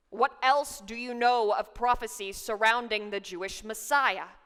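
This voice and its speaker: A female-sounding, growling put-on character voice, fairly high in pitch, at a moderate pace. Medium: solo performance. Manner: menacing, growling.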